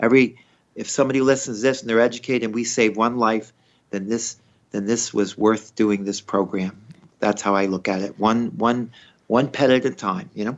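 At a fairly quick pace, a man with a medium pitch talks in an ordinary speaking voice with ordinary pitch variation. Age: 60s. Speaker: veterinarian. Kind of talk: interview.

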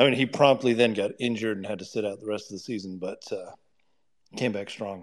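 Fairly even in intonation, a man rattles along at a very fast pace at a fairly low pitch. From Wyoming. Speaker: caller. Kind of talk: casual chat. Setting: live audio chat space.

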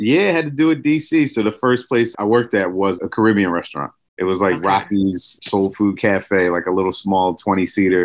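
A man with an American accent and a normal speaking voice speaks at a fairly quick pace with hardly any pauses. His fairly low pitch carries lively intonation. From West Philadelphia. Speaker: chef and restaurant owner. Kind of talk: casual interview.

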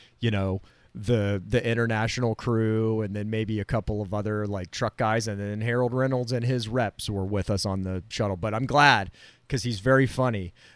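A man with an American accent speaks at a moderate pace in a fairly low pitch, with ordinary pitch variation. It is a normal speaking voice. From Florida. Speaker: broadcast technician and podcast co-host. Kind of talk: casual chat. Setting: video call.

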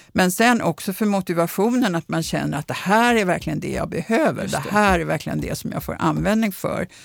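A voice with vocal fry that runs at a fairly quick pace with hardly any pauses. Its pitch varies in an ordinary way. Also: woman, medium pitch for a woman. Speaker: professor of bilingualism. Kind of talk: interview conversation.

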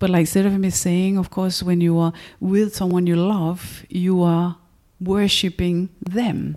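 With a Danish accent, a woman speaks fairly slowly at a medium pitch in a dark, mellow tone, her intonation flat and monotone and her loudness very even. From Denmark. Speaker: yoga and tantra teacher. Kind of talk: interview.

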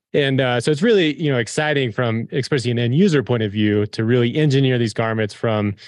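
With an American accent and a normal speaking voice, a man speaks fairly quickly at a medium pitch with ordinary pitch variation over a quiet background. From Colorado Front Range. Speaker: company executive and former mountain guide. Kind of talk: interview.

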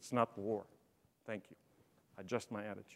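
This man talks at a very fast pace with vocal fry. The recording is very clean, with a silent background. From Lebanon. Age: 60s. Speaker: business executive and speaker. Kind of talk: conference keynote talk. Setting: stage with audience.

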